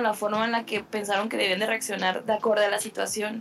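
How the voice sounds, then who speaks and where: Fairly quick speech from a woman, with noticeable background noise. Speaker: podcast co-host, filmmaker. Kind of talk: casual film discussion chat.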